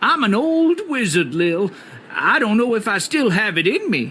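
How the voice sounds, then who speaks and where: Light background noise sits behind a put-on character voice at a fairly high pitch with very wide pitch swings. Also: moderate pace. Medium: video game. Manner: whimsical, theatrical.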